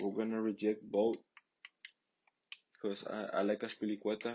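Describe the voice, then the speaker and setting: A man speaks with a Mexican accent. His pitch is medium and his pace fairly slow. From Mexico. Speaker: gaming YouTuber. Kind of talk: gameplay commentary. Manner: casual, halting with repetitions.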